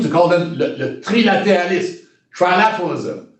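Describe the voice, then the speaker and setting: Pitched high, a man speaks with a Quebec accent and ordinary pitch variation. Room echo is audible. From Quebec, Shawinigan area. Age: 70s. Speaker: retired diplomat. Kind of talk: interview. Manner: halting, many repetitions.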